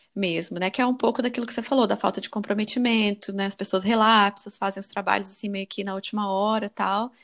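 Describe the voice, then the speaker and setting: Rushing along at a very fast pace with hardly any pauses, a woman keeps a medium pitch and fairly even intonation. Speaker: podcast host, immigrant college graduate. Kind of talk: casual chat.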